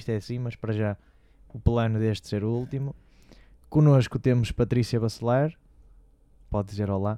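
The speaker is a man with a dark, mellow tone. He moves at a fairly quick pace. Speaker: radio host. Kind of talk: casual chat. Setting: studio.

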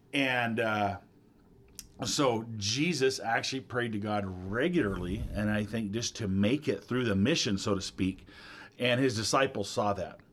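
In a plain, everyday voice, a man of medium pitch speaks at a fairly slow pace with ordinary pitch variation on a very clean recording with a silent background. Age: 50s. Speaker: pastor. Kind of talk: casual chat.

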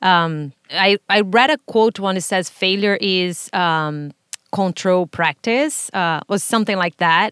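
At a very slow pace, a woman speaks at medium pitch with ordinary pitch variation, sounding dry and close with no echo. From Brazil. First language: Portuguese. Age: 30s. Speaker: podcast host. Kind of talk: casual interview conversation.

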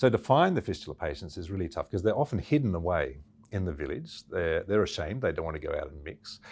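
A man with an Australian accent and a very deep, low pitch, at a very fast pace, with very wide pitch swings and big swings in loudness, on a very clean recording with a silent background. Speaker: missionary doctor. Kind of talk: interview.

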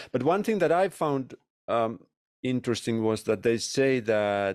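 A man's voice comes through dry and close, with no echo. The recording is very clean, with a silent background. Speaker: podcast host and consultant. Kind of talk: panel moderating.

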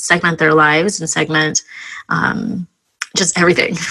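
A woman with an unremarkable speaking voice talks fairly quickly at a fairly low pitch, with fairly even intonation. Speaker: podcast host. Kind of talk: casual interview chat.

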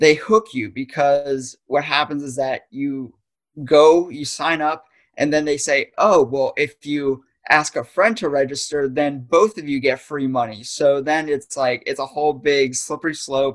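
A man with an American accent speaks at a fairly slow pace. His pitch is fairly high, with ordinary variation. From northeastern Pennsylvania, US. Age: 20s. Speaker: young adult podcast guest. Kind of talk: casual interview chat. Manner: halting, frequent restarts.

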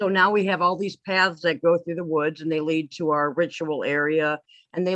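In an ordinary speaking voice, a woman talks at a fairly low pitch and a moderate pace with fairly even intonation. The sound is dry and close, with no echo. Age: 50s. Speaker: author and pagan high priestess. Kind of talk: casual interview chat. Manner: laughs often.

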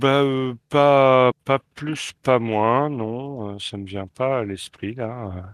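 At medium pitch, a man talks at a very slow pace with hardly any pauses. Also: ordinary pitch variation. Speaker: podcast co-host.

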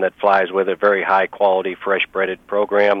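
Monotone, flat intonation from a man with a fairly low pitch. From Missouri. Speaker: business founder and CEO. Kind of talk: interview.

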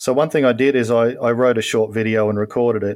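A man's very fast speech at a medium pitch, with an Australian accent. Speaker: novelist. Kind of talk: casual interview.

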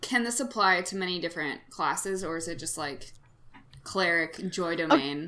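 A woman uses an ordinary speaking voice with a fairly low pitch and ordinary pitch variation. She keeps a moderate pace, with big swings in loudness. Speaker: podcast co-host. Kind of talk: casual comedic chat, improv banter. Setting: video call.

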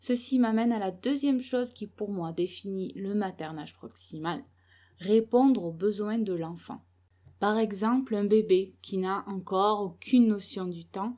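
The recording is very clean, with a silent background. A woman talks at a fairly slow pace with a medium pitch, a dark, mellow tone and ordinary pitch variation. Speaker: parenting blogger and mother. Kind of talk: solo podcast monologue. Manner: soft-spoken, quiet so the baby keeps sleeping; hesitant, many filler sounds.

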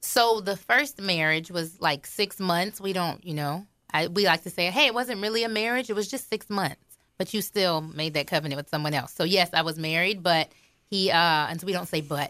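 A woman's fairly low, bright, sharp voice at a moderate pace with ordinary pitch variation, on a very clean recording with a silent background. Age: 30s. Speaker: marriage ministry leader. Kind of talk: radio interview.

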